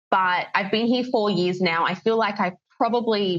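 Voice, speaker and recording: This is a woman speaking. She has a General Australian accent. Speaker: English teacher. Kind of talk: podcast interview.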